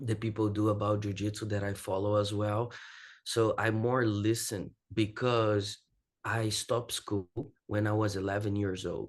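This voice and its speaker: With a Portuguese accent, a man speaks at a moderate pace in a fairly low, monotone, flat voice against a quiet background. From Brazil. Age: 20s. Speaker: jiu-jitsu athlete and academy owner. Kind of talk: podcast interview. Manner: halting non-native phrasing.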